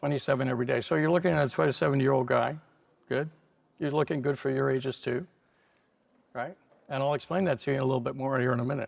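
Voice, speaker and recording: At a very fast pace, the speaker keeps a fairly even intonation while leaving long, frequent pauses. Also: man, medium pitch for a man. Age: 70s. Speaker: cardiologist and longevity doctor. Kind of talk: conference talk.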